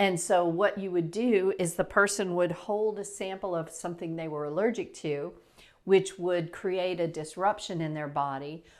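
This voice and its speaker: A woman with an ordinary speaking voice talks at a moderate pace and fairly low pitch, her intonation fairly even. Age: 60s. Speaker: natural health practitioner. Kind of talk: casual explainer talk to camera. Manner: conversational, with fillers and restarts.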